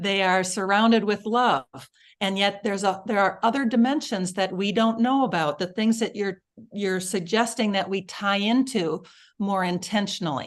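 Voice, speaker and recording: Against a quiet background, a woman talks in a normal speaking voice at a fairly slow pace. Her pitch is medium and varies in an ordinary way. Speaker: summit host and producer. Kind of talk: interviewer talk.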